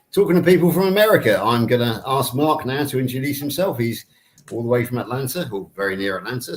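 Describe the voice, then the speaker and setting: A man in a British accent at a very fast pace, medium-pitched with lively intonation. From UK. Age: 50s. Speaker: podcast co-host. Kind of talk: hosted panel chat.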